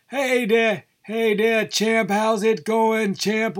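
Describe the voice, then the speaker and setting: This man's voice sits high for a male speaker. He is doing a put-on character voice. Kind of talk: announcer-style. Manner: hearty, jovial.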